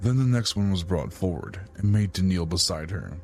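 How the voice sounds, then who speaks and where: Intonation is lively as a man talks in a very deep, low pitch. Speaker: voice actor; audiobook narrator. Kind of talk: audiobook fantasy narration.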